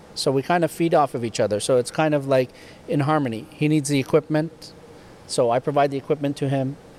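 Fairly high male voice with a Canadian accent and fairly even intonation, dry and close with no echo, over noticeable background noise. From Canada, rural Ontario near Ottawa. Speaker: tow truck manufacturer, business owner. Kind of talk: interview, casual chat. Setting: factory.

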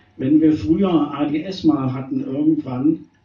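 Noticeable background noise beneath a fairly high male voice. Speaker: slam poet. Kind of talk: poetry slam performance of short rhymed jokes. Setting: stage with live audience. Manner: playful and wry.

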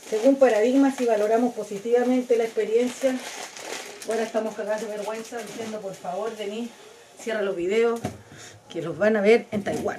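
A woman with a Chilean accent speaks at a fairly high pitch, her intonation fairly even, her loudness swinging widely. She pauses often and at length, with noticeable background noise. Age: 40s. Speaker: podcast host. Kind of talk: casual monologue.

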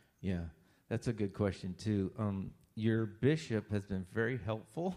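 A man with a central Pennsylvania accent, dark and mellow in tone, at a moderate pace against a quiet background. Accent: central Pennsylvania American. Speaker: pastor. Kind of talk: Q&A interview with congregation.

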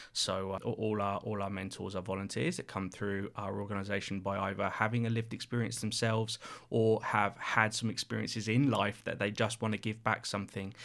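In a southern English accent, a man with a fairly low pitch and fairly even intonation talks at a fairly quick pace with hardly any pauses, on a very clean recording with a silent background. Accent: English, southern England. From Reading, southern England. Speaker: charity CEO. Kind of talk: casual interview chat.

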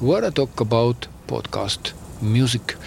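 Medium-pitched male speech in an Estonian accent at a fairly slow pace. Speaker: podcast host. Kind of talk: casual monologue; reading aloud. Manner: halting.

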